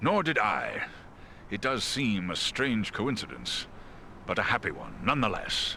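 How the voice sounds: A man puts on a character voice at a fairly low pitch, bright and sharp in tone, with vocal fry. He goes at a fairly slow pace with very wide pitch swings.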